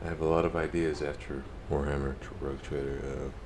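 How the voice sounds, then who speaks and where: A man talks at a moderate pace with noticeable background noise and audible room echo around him. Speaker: gaming streamer. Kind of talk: casual chat. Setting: live stream.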